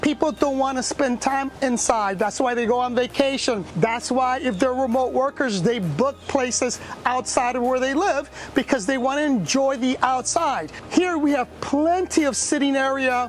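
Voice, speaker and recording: Loud and animated, a woman speaks at a high pitch with ordinary pitch variation. Noticeable background noise is present. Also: moderate pace. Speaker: vacation rental host giving property tour. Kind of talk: video house tour.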